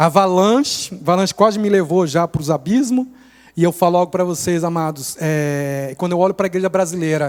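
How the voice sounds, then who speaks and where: The man's voice sits at a high pitch with ordinary pitch variation. He speaks at a moderate pace. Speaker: missionary. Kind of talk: sermon. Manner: animated.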